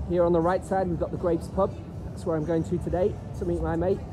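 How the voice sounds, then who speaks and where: Someone talks at a very fast pace while faint music plays in the background. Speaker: tour guide vlogger. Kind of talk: commentary. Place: street. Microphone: phone near.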